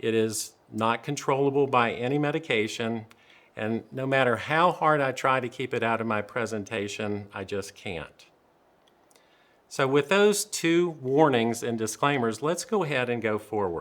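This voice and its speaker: On a very clean recording with a silent background, a man with a Southern US accent speaks at medium pitch and a moderate pace, his intonation lively. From US South. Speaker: dentist presenter. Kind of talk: lecture. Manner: dry humor delivery.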